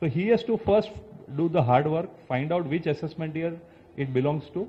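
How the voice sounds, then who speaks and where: A man with an Indian accent speaks at a moderate pace with a fairly high pitch. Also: ordinary pitch variation. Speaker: chartered accountant. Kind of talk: expert talk. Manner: explanatory, with filler words.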